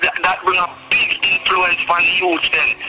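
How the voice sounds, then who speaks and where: Someone speaks with a Jamaican accent at a moderate pace over noticeable background noise. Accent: Jamaican patois-inflected English. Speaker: dancehall artist. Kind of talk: interview. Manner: hesitant, filler-heavy.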